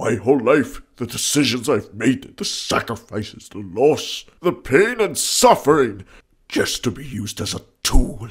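This cartoonish character voice has lively intonation and big swings in loudness. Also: man, medium pitch for a man, moderate pace.

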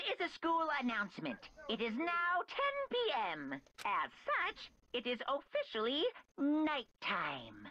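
In a put-on character voice, a female-sounding speaker talks at a fairly slow pace with a high pitch for a woman. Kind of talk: fan dub game voice acting. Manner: cheery, sing-song.

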